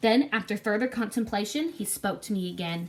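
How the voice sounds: Text delivered in a natural reading voice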